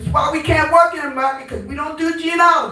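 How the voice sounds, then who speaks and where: A woman talks at a very fast pace in a raised, projected voice with high pitch and an animated tone. Audible room echo surrounds her. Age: 70s. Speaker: community activist. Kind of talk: town hall comment.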